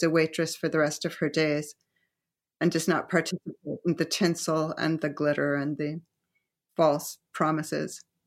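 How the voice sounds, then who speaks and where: In an American accent, a woman with a very deep, low pitch speaks at a moderate pace in a monotone, flat intonation on a very clean recording with a silent background. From US suburbs. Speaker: novelist. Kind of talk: casual chat. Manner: halting.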